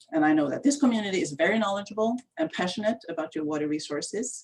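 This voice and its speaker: With a Swedish accent, a woman speaks in a somewhat breathy voice whose pitch swings very widely. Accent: Swedish, persistent. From Sweden. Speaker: county water planning manager. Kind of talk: self-introduction at community meeting. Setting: video call.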